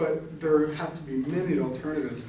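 A man talks at a moderate pace with ordinary pitch variation. There is light background noise and audible room echo. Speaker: speaker. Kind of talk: class speech, debate refutation. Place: classroom.

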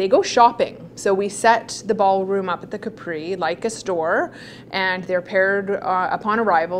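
A woman keeps a moderate pace and ordinary pitch variation while light background noise sits underneath. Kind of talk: interview answer. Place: office.

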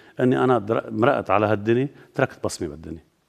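Against a quiet background, a man with vocal fry speaks at a medium pitch with ordinary variation. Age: 60s. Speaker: politician. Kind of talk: TV interview. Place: studio.

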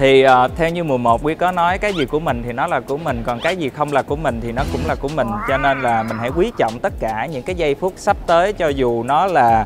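A man talking at a fairly quick pace with hardly any pauses, clear music in the background. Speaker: music show coach. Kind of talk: interview answer. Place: studio. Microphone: lapel.

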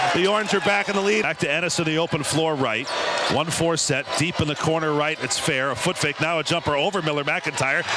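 Over noticeable background noise, a man talks fairly quickly at a fairly high pitch. His loudness stays very even and his pitch varies in an ordinary way. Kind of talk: live sports commentary. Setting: arena broadcast, radio or TV call. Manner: rapid-fire play-by-play, clipped and excitable on dunks and threes.

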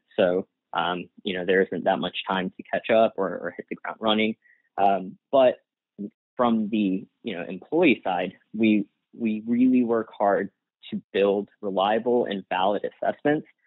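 A man speaks at a fairly slow pace in a fairly low pitch. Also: ordinary pitch variation. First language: Gujarati. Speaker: industrial-organizational psychologist. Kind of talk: interview conversation.

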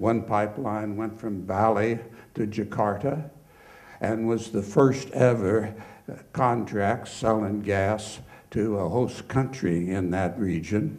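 Very slow speech from a man at a fairly low pitch, fairly even in intonation, with audible room echo. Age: 70s. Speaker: petroleum geologist. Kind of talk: lecture. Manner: informal.

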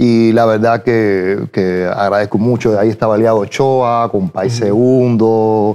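In a dark, mellow tone, a man talks at a fairly slow pace with very even loudness and flat, monotone intonation. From Cuba, Santiago de Cuba; Cuba. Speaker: singer; guest. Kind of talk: interview. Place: studio.

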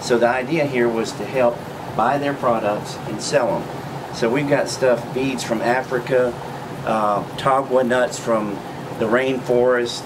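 With monotone, flat intonation, a man talks while noticeable background noise fills the recording. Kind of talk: interview answer. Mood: friendly, promotional. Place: shop.

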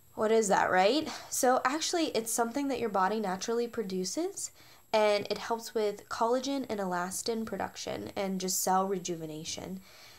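At a moderate pace, a woman speaks at a fairly high pitch with ordinary pitch variation. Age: 20s. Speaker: beauty product vlogger. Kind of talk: product review. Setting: at home after shower. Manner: animated. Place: home room. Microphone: phone near.

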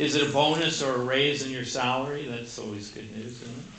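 Over light background noise and with audible room echo, a man talks with ordinary pitch variation. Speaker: pastor. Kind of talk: sermon. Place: church.

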